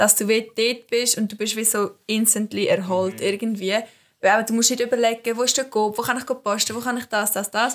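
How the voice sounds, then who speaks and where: A woman with a fairly high pitch and monotone, flat intonation at a fairly quick pace, in a very clean recording with a silent background. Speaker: student podcast co-host. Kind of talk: casual chat.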